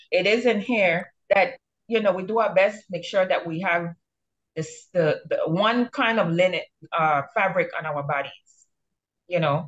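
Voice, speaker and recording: Against a quiet background, a woman speaks fairly slowly in a somewhat breathy voice with ordinary pitch variation. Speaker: religious discussion host. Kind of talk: bible study discussion. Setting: livestream. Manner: animated. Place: home room. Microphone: video call.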